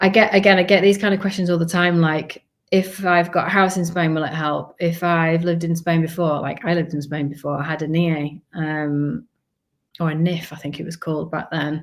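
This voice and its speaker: A woman talks at a moderate pace in a Yorkshire accent, her pitch fairly low. Her intonation is monotone and flat, and the recording is very clean with a silent background. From northern England, Leeds, Yorkshire. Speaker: family vlogger and relocation advisor. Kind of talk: live stream Q&A. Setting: live stream. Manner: casual, chatty.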